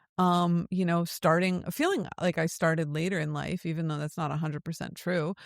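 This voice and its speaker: A woman with an American accent, fairly low in pitch, moderate in pace, with monotone, flat intonation, in a very clean, dry, close recording with no echo and a silent background. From United States. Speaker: podcast host. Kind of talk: casual chat.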